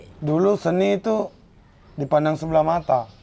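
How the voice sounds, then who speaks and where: His intonation is lively. The man keeps to a moderate pace. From Bone, South Sulawesi (Bugis). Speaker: art practitioner and teacher. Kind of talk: podcast interview.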